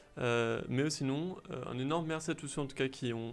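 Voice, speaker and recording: Fairly even intonation marks this man's medium-pitched voice, delivered at a moderate pace. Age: 20s. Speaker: youtuber. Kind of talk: casual chat. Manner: hesitant.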